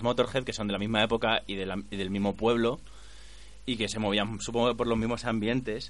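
This man has a fairly low pitch and a fairly quick pace. His intonation is monotone and flat. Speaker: radio co-host. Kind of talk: casual radio chat. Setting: studio.

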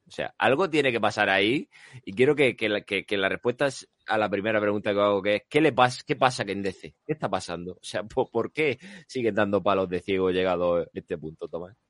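A man with a plain, everyday voice speaks at a fairly quick pace over a quiet background. His pitch is fairly low, with ordinary pitch variation. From Spain, Lorca (Murcia). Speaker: podcast host. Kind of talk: casual chat.

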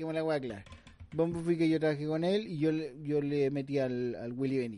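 A man with a Chilean accent speaks at a moderate pace in a dark, mellow tone, his fairly high pitch showing ordinary variation. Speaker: comedy podcast co-host. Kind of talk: casual comedic banter. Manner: animated.

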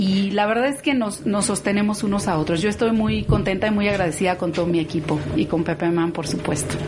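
A woman of medium pitch speaks at a fairly quick pace with hardly any pauses and very even loudness, over noticeable background noise and audible room echo. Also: ordinary pitch variation. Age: 50s. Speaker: program participant, administrator. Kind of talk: testimony.

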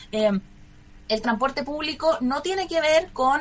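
A woman's lively intonation comes through against noticeable background noise. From Chile, Santiago. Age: 30s. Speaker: lawyer and public security official running for mayor. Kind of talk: radio interview.

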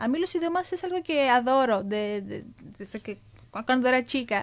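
Here is a woman with a Greek accent. She talks at a moderate pace. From Greece. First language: Greek (speaking Spanish). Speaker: student. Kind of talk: radio interview.

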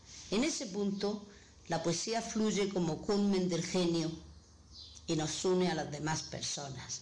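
A woman talks at a fairly slow pace with a medium pitch and ordinary pitch variation. Room echo is audible and background noise is noticeable. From Granada, Andalusia, Spain. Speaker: poet. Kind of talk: recorded testimony and poetry reading.

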